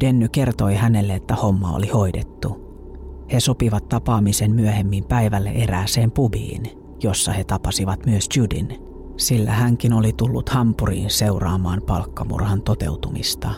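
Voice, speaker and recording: The speech has lively intonation at a fairly slow pace, with very even loudness. Music plays in the background. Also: man, fairly low pitch for a man. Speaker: true-crime podcast narrator. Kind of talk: true-crime narration, scripted storytelling.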